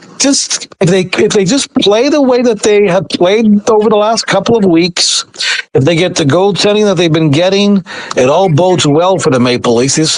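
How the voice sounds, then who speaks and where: Lively intonation from a man at a moderate pace, noticeable background noise underneath. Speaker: sports reporter. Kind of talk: interview answer. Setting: phone line. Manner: calm, steady.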